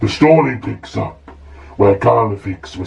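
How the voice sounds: The voice is a natural reading voice, its intonation lively and full of movement.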